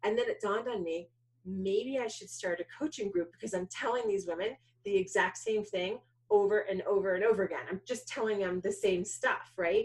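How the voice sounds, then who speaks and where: A woman with a New York accent, a medium pitch and a fairly quick pace. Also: ordinary pitch variation. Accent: New York American English. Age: 40s. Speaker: filmmaker and keynote speaker. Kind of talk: interview. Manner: halting.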